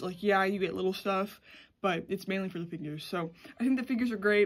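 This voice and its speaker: Fairly quick speech comes from a woman whose pitch varies in an ordinary way. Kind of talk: casual vlog chat. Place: home room. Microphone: phone near.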